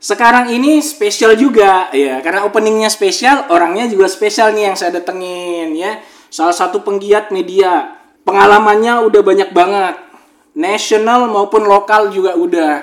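A man with a high-pitched voice speaks at a moderate pace, his tone animated and his intonation lively. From Makassar, South Sulawesi, Indonesia. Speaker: podcast host. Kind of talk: casual podcast chat; monologue on current affairs.

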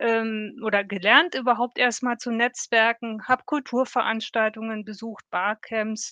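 A fairly slow woman's voice, fairly high in pitch, bright and sharp in tone, with a dry, close sound and no echo. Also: quiet background. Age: 50s. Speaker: corporate employee in a self-learning network. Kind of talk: interview. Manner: animated.

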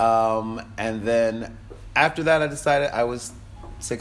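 With music in the background and audible room echo, a man of medium pitch speaks with an American accent and ordinary pitch variation. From Connecticut, US. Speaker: diplomat. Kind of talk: casual interview.

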